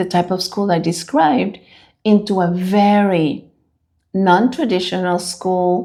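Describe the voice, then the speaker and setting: A woman with a Spanish accent and a dark, mellow tone, speaking at a very slow pace in a very clean recording with a silent background. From Dominican Republic. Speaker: school leader. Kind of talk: interview.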